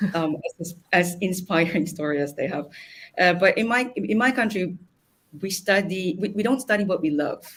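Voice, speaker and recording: A woman's medium-pitched, somewhat breathy voice at a moderate pace, with ordinary pitch variation. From Philippines. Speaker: computer engineer. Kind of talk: panel discussion. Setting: live stream panel.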